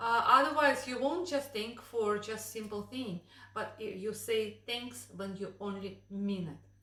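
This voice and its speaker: A woman with a Russian accent, fairly high in pitch with ordinary variation, fairly slow, her loudness swinging widely, amid audible room echo. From Russia, Moscow. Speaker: vlogger. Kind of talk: casual chat.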